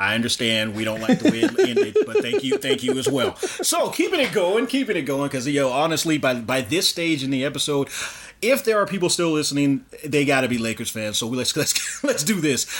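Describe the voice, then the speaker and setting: Over noticeable background noise, a man speaks fairly quickly with lively intonation and a fairly high pitch. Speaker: podcast host. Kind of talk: casual interview.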